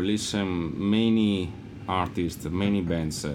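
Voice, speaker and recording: A man with an Italian accent speaks at a very slow pace, his pitch variation ordinary. Room echo is audible. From Italy. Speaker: rock guitarist. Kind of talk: casual interview chat. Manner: halting, many fillers.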